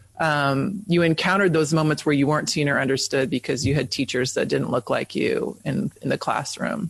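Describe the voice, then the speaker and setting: A man's somewhat breathy voice at a fairly quick pace with hardly any pauses, very even loudness and ordinary pitch variation, in a dry, close sound with no echo. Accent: American. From East Bay, California. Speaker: teacher and podcast host. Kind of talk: podcast interview. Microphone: sound distorted, voice got very low.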